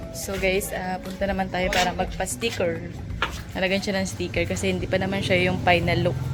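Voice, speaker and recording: Over background music, a woman talks at a fairly quick pace with audible room echo. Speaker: vlogger. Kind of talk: casual vlog.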